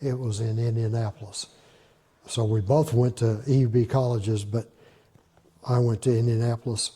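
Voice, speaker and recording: A man's somewhat breathy voice with a dark, mellow tone, fairly even intonation and a moderate pace. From Southern Indiana. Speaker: retired math and physics teacher. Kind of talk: oral history interview answer.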